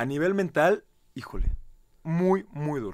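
The pitch rises and falls across a very wide range against a quiet background. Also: man. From Mexico, Querétaro; Mexico. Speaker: reality show contestant; radio guest. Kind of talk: interview. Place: studio.

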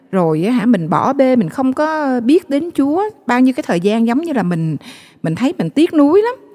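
In a quiet background, a woman's high, dark, mellow voice moves through very wide pitch swings. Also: moderate pace. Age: 40s. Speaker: guest sharing faith story; guest. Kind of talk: testimony. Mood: emotional, regretful recollection. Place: studio. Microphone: handheld.

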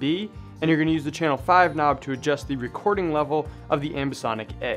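Over music in the background, a man talks at a very fast pace with ordinary pitch variation. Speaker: audio gear tutor. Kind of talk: tutorial.

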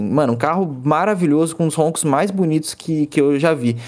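With a plain, everyday voice, a man of fairly high pitch talks at a moderate pace with ordinary pitch variation over a quiet background. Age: 20s. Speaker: automotive YouTuber. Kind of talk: casual chat. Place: home room.

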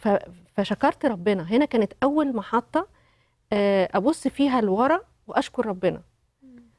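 With lively intonation, a woman talks fairly slowly with long, frequent pauses, the sound dry with no echo and the background quiet. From Egypt. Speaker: company director and widow; talk show guest. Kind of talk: testimony. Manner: halting. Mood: reflective, personal story. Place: studio. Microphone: lapel.

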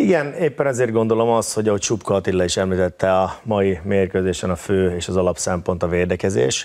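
A man's very deep, low voice with hardly any pauses. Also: ordinary pitch variation, fairly quick pace. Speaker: football pundit. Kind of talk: studio analysis. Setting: studio. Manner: halting.

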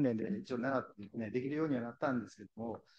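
With a dark, mellow tone and medium pitch, a man speaks with lively intonation over a quiet background. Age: 60s. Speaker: visually impaired university library employee. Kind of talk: testimony. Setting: forum stage with audience.

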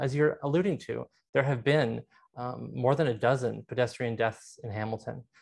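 A man talks at a fairly quick pace, pitch varying in an ordinary way, with a quiet background. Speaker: council candidate. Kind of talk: interview answer. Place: home room. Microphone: earbuds.

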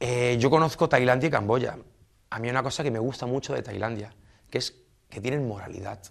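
A fairly quick-paced man with ordinary pitch variation against a quiet background. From southern Spain, Almería; southern Spain. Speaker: expatriate interviewee; interviewee. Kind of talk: interview. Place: studio.

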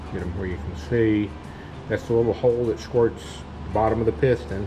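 Male voice with ordinary pitch variation over music in the background. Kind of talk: tutorial. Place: workshop.

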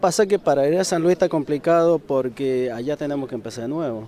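A man with a fairly high pitch and a dark, mellow tone speaks at a moderate pace with ordinary pitch variation, the sound dry with no echo and light background noise behind him. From eastern Mendoza, Argentina. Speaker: factory machine operator; laid-off factory worker. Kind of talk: street interview. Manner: halting. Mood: worried, somber. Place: street. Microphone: handheld.

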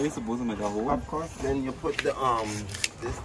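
A man talks at a very fast pace. Loud background noise fills the recording. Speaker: vlogger. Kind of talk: casual vlog chat. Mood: amused, laughing. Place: street. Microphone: phone near.

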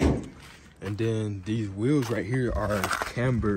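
A man's fairly low, somewhat breathy voice, dry with no echo, over light background noise. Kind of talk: casual vlog chat. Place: open country. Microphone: phone near.

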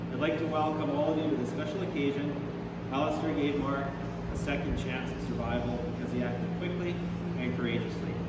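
Through loud background noise and audible room echo, a man speaks at a fairly quick pace. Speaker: paramedic spokesperson. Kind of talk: prepared press statement. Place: hall. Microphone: podium.

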